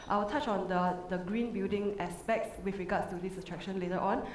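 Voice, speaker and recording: A woman at medium pitch with ordinary pitch variation and a fairly quick pace, with audible room echo and noticeable background noise. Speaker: resort sustainability manager, conference panelist. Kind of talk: conference panel presentation. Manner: fast.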